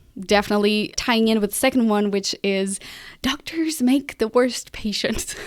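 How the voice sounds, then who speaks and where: A woman with a non-native accent speaks at a fairly slow pace. Her pitch sits fairly high, with ordinary variation. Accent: foreign. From Portugal. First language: Portuguese. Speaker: podcast strategist and host. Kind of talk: solo podcast monologue. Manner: casual, conversational with fillers.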